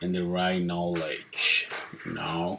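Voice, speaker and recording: The speaker has a slight non-native accent and talks at a very slow pace. Noticeable background noise sits behind the voice. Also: man. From Mexico. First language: Spanish. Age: 40s. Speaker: mover and DIY mechanic. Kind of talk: tutorial. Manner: casual, halting.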